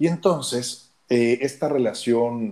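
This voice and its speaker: A man speaks in a Mexico City accent. His pace is very slow. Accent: Mexico City Spanish (chilango). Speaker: therapist and former radio announcer. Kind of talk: interview storytelling. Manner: animated.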